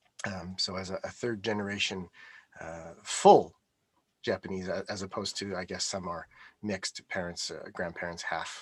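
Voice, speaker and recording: At a moderate pace, a man delivers his words in a very deep, low monotone. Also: big swings in loudness. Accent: Montreal. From Canada, Montreal (Quebec). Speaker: IT architect. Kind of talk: interview conversation. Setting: live stream from home office.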